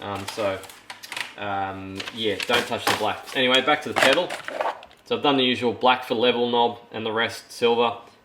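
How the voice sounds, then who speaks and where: A man speaks at a moderate pace and medium pitch with ordinary pitch variation. Noticeable background noise is present. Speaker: DIY guitar pedal builder. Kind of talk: casual tutorial build report. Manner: hesitant, many fillers and repetitions.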